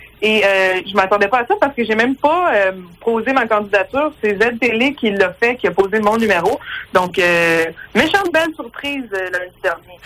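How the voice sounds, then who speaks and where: The speaker, in a Quebec accent, talks at a moderate pace with lively intonation over noticeable background noise. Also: woman, fairly high pitch for a woman. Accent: Québécois French. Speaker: stand-up comedian. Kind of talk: phone interview.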